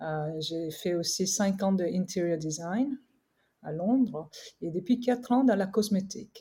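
A woman speaks at a very slow pace with a somewhat breathy, dark, mellow tone. Her pitch sits in the medium range with ordinary pitch variation. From Korea. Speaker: skincare brand co-founder. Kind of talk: interview. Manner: halting.

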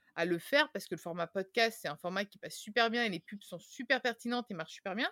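Recorded very cleanly with a silent background and a dry, close sound with no echo, a woman uses a plain, everyday voice with lively intonation. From Tuscany, Italy (rural). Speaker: podcast host and digital specialist, guest. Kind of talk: casual interview conversation.

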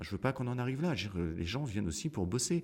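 A man with very wide pitch swings. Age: 50s. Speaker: business founder. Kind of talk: interview.

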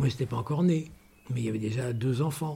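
A man of medium pitch speaks against noticeable background noise. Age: 70s. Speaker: metalwork craftsman for fashion houses. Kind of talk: interview storytelling. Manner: halting, many repetitions.

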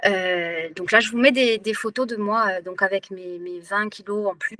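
A woman at medium pitch talks at a fairly slow pace with hardly any pauses, fairly even intonation and big swings in loudness. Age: 40s. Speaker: teacher and former weight-loss program client. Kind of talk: testimony in an online workshop. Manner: halting, many hesitations and repetitions.

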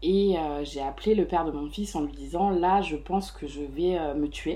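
Audible room echo follows a woman as she speaks at a fairly slow pace. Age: 30s. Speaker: mother living with depression. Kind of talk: personal testimony interview. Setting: host's living room.

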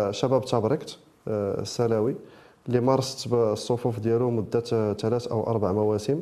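The man's tone is dark and mellow. He talks at a fairly slow pace. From Morocco, Rabat area. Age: 30s. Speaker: football coach. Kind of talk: interview.

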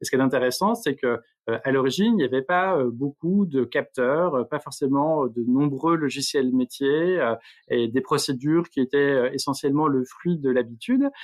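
A man speaks at a moderate pace with a fairly high pitch and ordinary pitch variation. His loudness stays very even throughout. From France, Franche-Comté. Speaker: startup co-founder, former local politician. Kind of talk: interview. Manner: halting, many repetitions and fillers.

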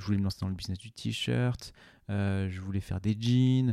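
Dark and mellow, a man's fairly low voice with ordinary pitch variation sounds dry and close with no echo on a very clean recording with a silent background. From France, Ain (Oyonnax). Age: 30s. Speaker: podcaster and fashion brand co-founder. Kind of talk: casual interview. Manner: halting, many repetitions.

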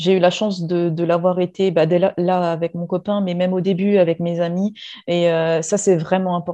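The tone is dark and mellow, with monotone, flat intonation. Delivery is at a moderate pace over a quiet background. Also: woman, fairly low pitch for a woman. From Réunion. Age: 30s. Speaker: former chemist. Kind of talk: interview testimony.

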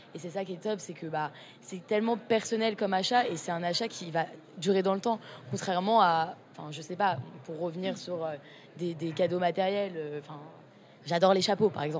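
A woman speaks in a plain, everyday voice at a fairly low pitch with ordinary pitch variation. Her loudness swings widely. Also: moderate pace. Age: 20s. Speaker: art student, association co-founder. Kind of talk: casual interview.

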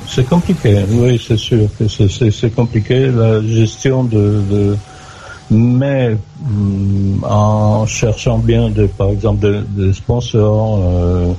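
A man speaks very slowly in a fairly low voice, his loudness very even and his intonation fairly even, with noticeable background noise. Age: 60s. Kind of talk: casual chat. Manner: halting.

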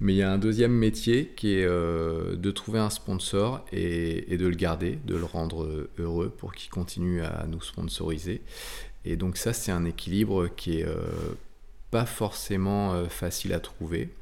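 A man speaks at a very deep, low pitch and a fairly slow pace, with ordinary pitch variation. Audible room echo surrounds his voice. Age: 40s. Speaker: offshore sailor. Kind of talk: interview.

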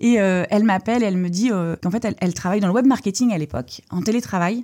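Ordinary pitch variation runs through a dark, mellow voice. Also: woman. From Brittany, France (Lorient). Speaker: entrepreneur. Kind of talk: interview. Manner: halting.

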